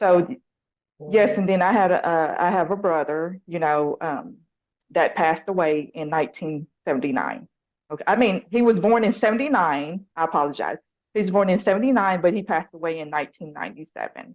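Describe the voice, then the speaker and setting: A woman with a strong Southern US accent and medium pitch speaks at a fairly quick pace with lively intonation. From US South, Nashville Tennessee. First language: Lao. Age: 40s. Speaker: probation officer and motorcycle racer. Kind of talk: interview.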